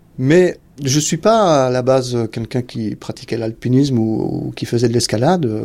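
Using a dark, mellow tone, a man speaks at a fairly slow pace with ordinary pitch variation. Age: 50s. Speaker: retired soldier. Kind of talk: testimony. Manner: halting.

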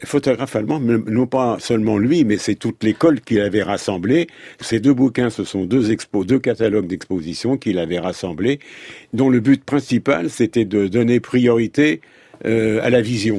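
This man's dark, mellow voice sits at a medium pitch, moving at a moderate pace with ordinary pitch variation, recorded very cleanly against a silent background with a dry, close sound and no echo. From Paris. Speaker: photographer and photography historian. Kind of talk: interview.

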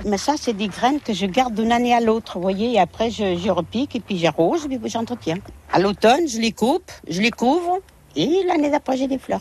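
At a moderate pace, a woman speaks in a fairly high pitch with very wide pitch swings. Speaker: community gardener. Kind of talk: casual chat. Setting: outdoors.

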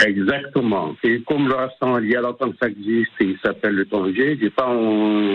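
At a moderate pace and medium pitch, a man with a North African accent speaks with very even loudness, ordinary pitch variation and hardly any pauses. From Maghreb (Algeria). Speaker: restaurant owner and cook. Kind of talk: radio interview. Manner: halting.

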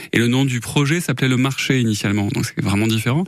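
Noticeable background noise surrounds a man at medium pitch. He talks fairly quickly with ordinary pitch variation. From southern France, Gard (Saint-Christophe-lès-Alès). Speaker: dancer and arts venue founder. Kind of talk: radio interview.

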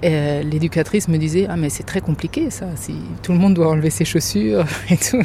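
Over noticeable background noise, a woman with a very deep, low voice talks at a fairly quick pace with lively intonation. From France, Germany and Lebanon. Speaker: mother who co-founded a forest school. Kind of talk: interview testimony.

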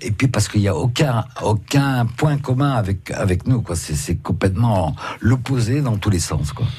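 Over noticeable background noise, a man speaks at a fairly slow pace and medium pitch with lively intonation. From West Africa (born), schooled in Saint-Malo, France. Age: 70s. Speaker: painter, actor and author. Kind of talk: radio interview. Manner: halting.

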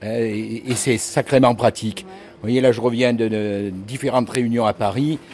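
Noticeable background noise sits under a man's voice. He speaks at a moderate pace with ordinary pitch variation. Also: medium pitch for a man. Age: 60s. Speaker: near-retired local resident. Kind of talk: casual chat.

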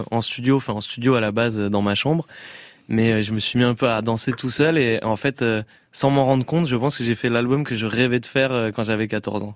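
A man with an ordinary speaking voice talks at a moderate pace. His pitch is medium and his intonation fairly even. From southwest France. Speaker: pop singer. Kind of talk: radio interview. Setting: radio studio.

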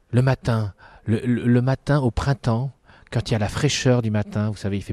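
A man with an ordinary speaking voice and a medium pitch talks at a fairly quick pace, the sound dry and close with no echo. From northern France, Dunkirk. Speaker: circus ringmaster. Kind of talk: casual interview. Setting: outdoors in a park.

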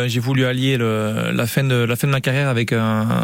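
Over noticeable background noise, a man speaks at a medium pitch with fairly even intonation. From French Basque Country, Hendaye. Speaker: retired pelota player and firefighter. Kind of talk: radio interview.

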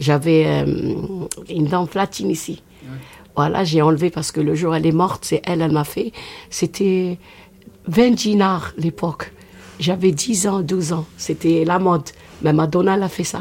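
A woman speaks at a fairly low pitch and fairly slow pace with vocal fry, ordinary pitch variation, and long, frequent pauses. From Oran, Algeria. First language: Algerian Arabic (speaking French). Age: 60s. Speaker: rai singer. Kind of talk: interview.

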